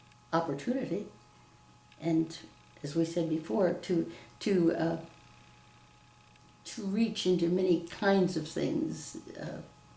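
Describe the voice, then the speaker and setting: Audible room echo surrounds a woman with an American accent and a fairly low pitch. She speaks at a very slow pace with ordinary pitch variation and long, frequent pauses. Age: 80s+. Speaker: retired teacher. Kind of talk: interview testimony. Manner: halting.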